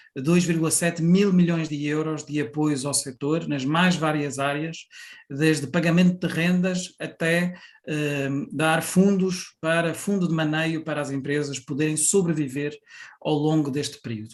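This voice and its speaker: A man talks at a fairly slow pace. His voice is fairly high-pitched, with fairly even intonation. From Portugal. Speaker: national tourism board president. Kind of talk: conference presentation. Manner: hesitant, many fillers.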